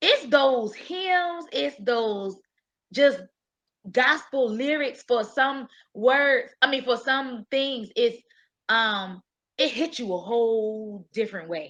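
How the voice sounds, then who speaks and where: A loud woman speaks at a very slow pace in a high voice, her intonation lively and her long pauses frequent, against a quiet background. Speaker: panelist. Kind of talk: panel discussion.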